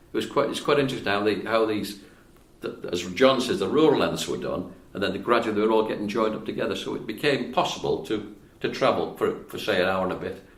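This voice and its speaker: A man talks at a very fast pace in a fairly low voice with ordinary pitch variation. There is audible echo in the room. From Wales. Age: 80s+. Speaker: retired civil engineer. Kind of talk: casual interview conversation.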